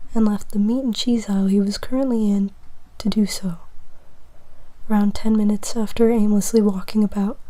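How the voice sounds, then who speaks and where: Whispering at a fairly quick pace, the speaker leaves long, frequent pauses. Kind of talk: ASMR whispered fiction reading, comedic fanfic. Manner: whispered.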